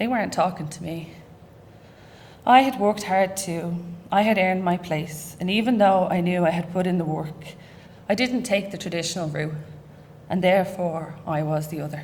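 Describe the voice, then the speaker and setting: A woman speaks at a fairly low pitch and a moderate pace, sounding somewhat breathy with ordinary pitch variation. Her long, frequent pauses come through with audible room echo. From Ireland, Dublin. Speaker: university staff researcher. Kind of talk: reading aloud.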